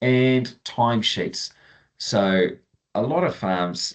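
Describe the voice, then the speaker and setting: A man's voice in a Southern New Zealand accent, with very wide pitch swings. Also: quiet background. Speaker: farm software trainer; presenter. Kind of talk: webinar tutorial; webinar product walkthrough. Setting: online webinar. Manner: casual, many fillers. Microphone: video call.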